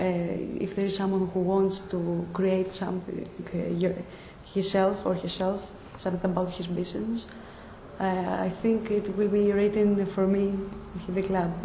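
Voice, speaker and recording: A woman with a Greek accent speaks at a moderate pace and medium pitch, her intonation monotone and flat. Audible room echo and noticeable background noise are present. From Greece. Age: 20s. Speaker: nursing student. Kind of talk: interview. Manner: halting.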